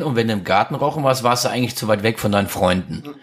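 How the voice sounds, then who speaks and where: An unremarkable speaking voice from a man at a medium pitch, with ordinary pitch variation, on a very clean recording with a silent background. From Krefeld, Lower Rhine, Germany. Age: 40s. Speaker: restaurateur. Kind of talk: casual chat. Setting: living room.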